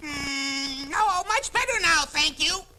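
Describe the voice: A woman does a cartoonish character voice at an extremely high pitch. She speaks fairly slowly with lively intonation.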